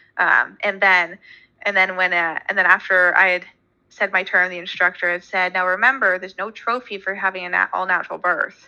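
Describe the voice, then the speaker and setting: In a Canadian accent, a woman speaks at a medium pitch and a moderate pace with a bright, sharp tone. Her intonation is monotone and flat, and the background is quiet. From Canada. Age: young. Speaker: artist. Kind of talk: casual chat.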